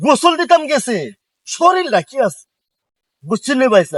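The recording is dry and close with no echo. A man speaks with ordinary pitch variation. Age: old. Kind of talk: casual interview reminiscence.

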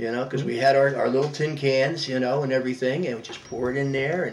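Very fast speech comes from a man with a fairly high pitch. Light background noise sits behind him. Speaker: war veteran. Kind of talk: oral history interview, reminiscing about life story. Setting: home interview. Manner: warm, chatty, reflective. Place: home room. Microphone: webcam.

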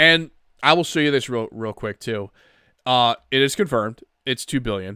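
Bright and sharp in tone, a man's medium-pitched voice moves at a moderate pace with ordinary pitch variation, recorded dry and close with no echo on a very clean, silent background. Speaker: gaming podcaster. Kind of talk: casual solo podcast talk. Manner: halting, many restarts and fillers.

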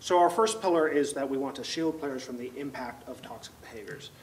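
At a fairly quick pace, a man delivers his words. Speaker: presenter. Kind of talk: lecture. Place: classroom. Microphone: handheld.

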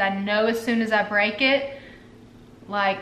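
A woman talks at a fairly slow pace with audible room echo and light background noise. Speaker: wellness vlogger. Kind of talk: casual vlog chat. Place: home room. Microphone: camera far.

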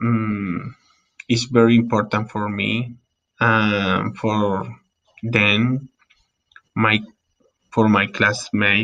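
A man with a Colombian accent speaks very slowly in a bright, sharp tone. His intonation is monotone and flat, with long, frequent pauses. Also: fairly low pitch for a man. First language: Spanish. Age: 30s. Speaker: English learner. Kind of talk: class presentation, self-introduction. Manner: halting, hesitant with many fillers. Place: home room. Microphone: webcam.

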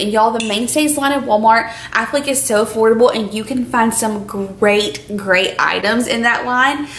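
A woman speaks with ordinary pitch variation, light background noise, and audible echo in the room. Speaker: lifestyle vlogger. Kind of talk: casual vlog chat, sponsored product review. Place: kitchen.

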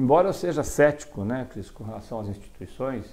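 A fairly quick pace carries this speech. Its tone is dark and mellow. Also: man. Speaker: state legislator, politician. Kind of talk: casual interview. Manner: informal, chatty, joking. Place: studio. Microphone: lapel.

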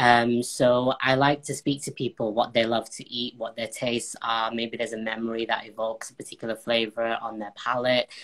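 Against a quiet background, a man talks at a fairly quick pace in a flat, monotone delivery. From northern England, Bolton. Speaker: baker and former cooking contestant. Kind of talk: casual interview. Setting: live video call. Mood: calm, friendly. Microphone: video call.

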